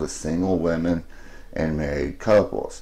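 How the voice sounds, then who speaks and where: With an American accent, a man talks at a moderate pace in a dark, mellow tone, and some room echo can be heard. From US South, Alabama. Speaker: fan vlogger. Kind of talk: personal video message.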